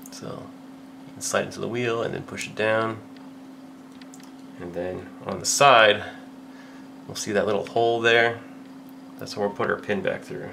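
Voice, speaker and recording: Over noticeable background noise and audible room echo, a man with a medium-pitched voice mumbles at a moderate pace, his intonation fairly even, his loudness swinging widely, and his pauses long and frequent. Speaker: airsoft hobbyist tutorial maker. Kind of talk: tutorial. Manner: mumbling; casual.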